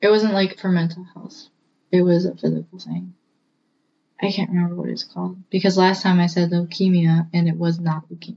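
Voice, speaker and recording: At a fairly quick pace, a woman speaks in a somewhat breathy, fairly low voice with a dark, mellow tone and flat, monotone intonation. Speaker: co-host. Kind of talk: casual chat.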